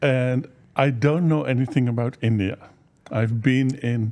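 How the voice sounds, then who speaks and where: A man with a Dutch accent and a dark, mellow tone speaks at medium pitch and a fairly slow pace with fairly even intonation. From western Netherlands. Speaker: healer and teacher. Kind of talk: interview.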